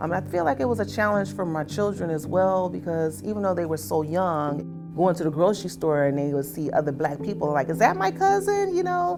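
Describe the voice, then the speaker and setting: With music in the background, a woman with an American accent speaks in a very deep, low pitch at a fairly quick pace, with lively intonation and hardly any pauses. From Chicago, USA. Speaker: volunteer relations coordinator. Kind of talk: oral history interview answer. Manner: candid.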